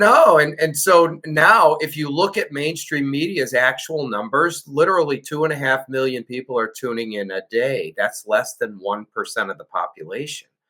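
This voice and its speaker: Using a plain, everyday voice, a man with an American accent talks at a moderate pace and fairly high pitch, with lively intonation and hardly any pauses. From Chicago, US Midwest. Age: 60s. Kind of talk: interview.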